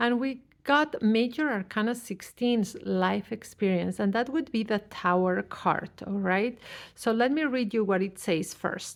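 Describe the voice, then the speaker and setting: A woman with a fairly high pitch speaks in a plain, everyday voice at a fairly slow pace, with ordinary pitch variation and very even loudness. The recording is very clean, with a silent background. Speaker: tarot reader. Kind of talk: tarot reading.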